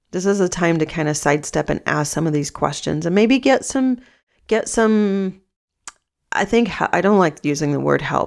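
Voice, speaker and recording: Someone uses a raspy, put-on character voice at a moderate pace in a very clean recording with a silent background. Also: woman, medium pitch for a woman. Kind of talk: coaching, conversational. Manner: hesitant, stuttering.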